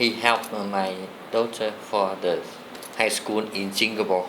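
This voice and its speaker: A man's fairly low voice in a Vietnamese accent, monotone and flat, with long, frequent pauses and noticeable background noise. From southern Vietnam (Saigon). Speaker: former soldier. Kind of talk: interview answer.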